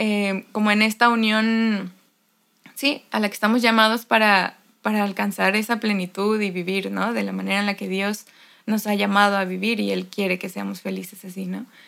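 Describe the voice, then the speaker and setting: A woman with a medium pitch speaks in a flat monotone at a moderate pace. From Mexico, Xalapa, Veracruz. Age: 20s. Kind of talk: casual chat. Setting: recording in same room as other guest.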